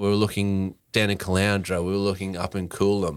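On a very clean recording with a silent background, a man with an Australian accent and a fairly low pitch speaks at a fairly quick pace. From Queensland, Australia (Brisbane). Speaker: brewery founder and head brewer. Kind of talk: casual chat.

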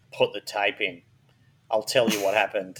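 A gruff, put-on character voice from a man, fairly low in pitch, at a moderate pace

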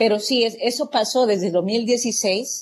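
Her tone is dark and mellow. The woman's pitch shifts in an ordinary way. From El Salvador. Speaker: real estate entrepreneur. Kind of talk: interview.

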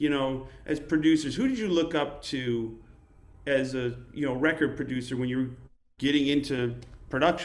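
This man has an unremarkable speaking voice with an American accent. His pitch is fairly high, and his pace is moderate. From Upstate New York (Utica). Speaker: podcast host. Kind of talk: casual interview chat.

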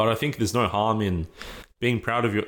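A man with an Australian accent, fairly low-pitched, at a fairly quick pace, on a very clean recording with a silent background. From Australia, Sydney. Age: 20s. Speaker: student association president. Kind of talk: interview conversation.

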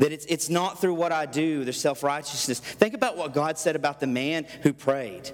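Noticeable background noise sits behind a man with a fairly high pitch. His pitch varies in an ordinary way. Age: 30s. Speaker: pastor. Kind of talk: sermon. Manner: fast; animated.

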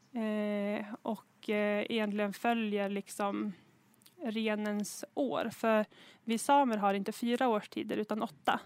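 Her pitch is fairly high and her intonation fairly even. The woman talks at a very slow pace. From northern Dalarna, Sweden (Sami). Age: 20s. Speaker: Sami podcaster and dancer. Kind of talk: podcast interview. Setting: outdoors.

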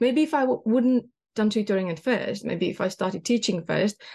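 A woman with a normal speaking voice talks at a fairly quick pace in a medium pitch with ordinary pitch variation against a quiet background. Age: 30s. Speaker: maths tutor. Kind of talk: casual chat. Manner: frequent laughter.

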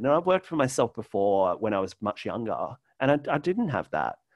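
With an Australian accent, a man talks at a fairly quick pace, his medium pitch swinging very widely, in a dry, close sound with no echo. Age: 20s. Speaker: radio host and artist manager. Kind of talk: casual chat.

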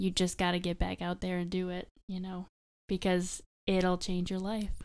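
A woman's medium-pitched voice with an American accent, on a very clean recording with a silent background. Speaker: musician's partner. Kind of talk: casual chat. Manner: shy.

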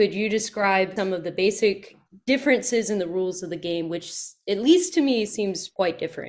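On a very clean recording with a silent background, a woman with an American accent speaks at a medium pitch and moderate pace with ordinary pitch variation. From US South. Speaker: podcast host. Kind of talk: podcast interview.

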